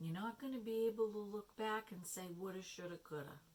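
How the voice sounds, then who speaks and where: A woman speaks quietly at medium pitch with ordinary pitch variation. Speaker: tarot and oracle card reader. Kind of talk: card reading talk to camera. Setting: no microphone, low volume. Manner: quiet, hushed.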